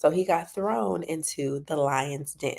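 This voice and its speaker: A woman speaks quietly in a dark, mellow tone with ordinary pitch variation, on a very clean recording with a silent background. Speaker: parent coach. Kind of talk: casual talk to camera. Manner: quiet, low voice.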